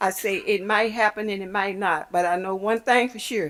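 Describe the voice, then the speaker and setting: On a very clean recording with a silent background, a woman in a Memphis accent speaks at medium pitch with ordinary pitch variation. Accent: Southern US (Memphis). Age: 80s+. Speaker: crossing guard making a public request. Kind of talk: public comment at county meeting. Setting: county commission chamber.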